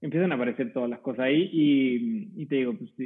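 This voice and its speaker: At a fairly quick pace, a man with a medium pitch talks in an ordinary speaking voice. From Chile, Curicó Valley. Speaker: winemaker. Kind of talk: casual chat.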